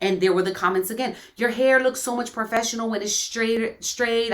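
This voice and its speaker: A woman's fairly high-pitched, animated voice with hardly any pauses, over noticeable background noise. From New York, the Bronx; Puerto Rican. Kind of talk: casual faith chat, testimony.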